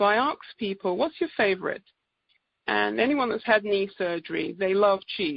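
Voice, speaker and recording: Lively intonation marks this woman's speech in an English accent. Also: medium pitch for a woman, moderate pace. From England. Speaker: naturopathic doctor. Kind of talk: presentation on conference call.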